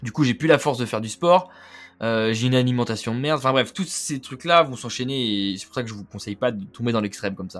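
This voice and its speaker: Speaking very fast at medium pitch, a man uses lively intonation and big swings in loudness. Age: 20s. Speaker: podcast host, young entrepreneur. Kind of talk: casual monologue. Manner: casual, conversational.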